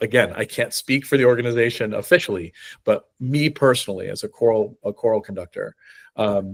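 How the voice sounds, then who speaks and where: The recording is very clean, with a silent background. A man with a slight New England accent talks at a fairly quick pace. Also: dry, close sound with no echo. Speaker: choral conductor and university music director. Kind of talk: interview conversation. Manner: halting, frequent fillers and repetitions.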